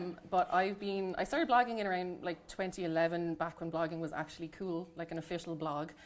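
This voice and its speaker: Speaking very fast with hardly any pauses, a woman with a Dublin accent keeps a fairly low pitch and fairly even intonation. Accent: Irish, Dublin. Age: 30s. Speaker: book reviewer, nurse and midwife. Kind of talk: panel talk at library event.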